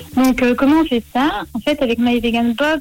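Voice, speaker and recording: High-pitched woman's voice at a moderate pace, fairly even intonation, noticeable background noise. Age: 20s. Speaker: vegan box business founder. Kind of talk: radio interview.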